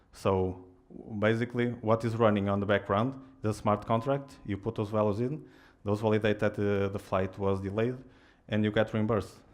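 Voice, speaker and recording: A man's fairly low voice at a moderate pace, flat and monotone, over a quiet background. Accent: non-native. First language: Portuguese. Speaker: software engineer, tech speaker. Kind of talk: tech meetup talk. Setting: stage with audience. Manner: halting, many fillers.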